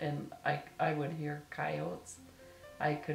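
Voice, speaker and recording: With music in the background, a woman speaks at a very deep, low pitch in an Upper Midwest accent. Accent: Upper Midwest American. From northern Minnesota. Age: old. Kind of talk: interview answer.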